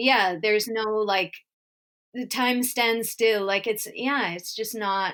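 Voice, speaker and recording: A woman with a Canadian accent speaks very slowly in a fairly high voice, her intonation fairly even. The recording is very clean, with a silent background. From Winnipeg, Manitoba, Canada. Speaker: comedian and storyteller. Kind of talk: casual podcast conversation.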